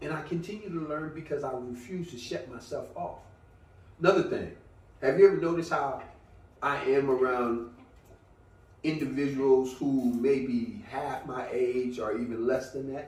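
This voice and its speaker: A man with a fairly high pitch speaks somewhat breathily at a moderate pace, with ordinary pitch variation, big swings in loudness and long, frequent pauses. Audible room echo surrounds his voice. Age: 60s. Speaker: veteran bodybuilder. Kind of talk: casual chat.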